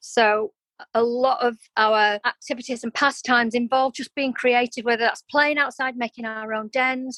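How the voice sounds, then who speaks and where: The tone is bright and sharp, with fairly even intonation at a moderate pace. The sound is dry and close with no echo, over a quiet background. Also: woman, high pitch for a woman. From Yorkshire, then North Wales (Holyhead) from age 11 to 16. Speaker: business founder, ex-military. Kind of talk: podcast interview.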